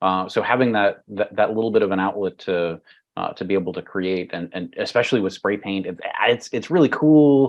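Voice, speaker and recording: With a fairly low pitch and ordinary pitch variation, a man talks at a fairly quick pace. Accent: American. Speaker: cybersecurity executive and author. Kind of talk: podcast interview. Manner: halting, many fillers and repetitions.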